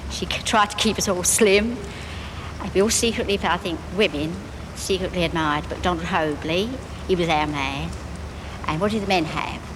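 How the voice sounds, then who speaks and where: A woman with a London accent speaks at a fairly low pitch, her pitch varying in an ordinary way. Long, frequent pauses break up her speech, and background noise is noticeable. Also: moderate pace. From East End of London. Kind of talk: interview answer. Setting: outdoors. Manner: earnest, evocative.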